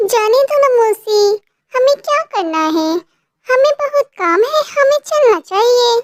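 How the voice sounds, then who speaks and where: A woman does a cartoonish character voice at an extremely high pitch with very wide pitch swings. The pace is fairly slow, the loudness very even, and the sound dry and close with no echo. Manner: gentle, polite.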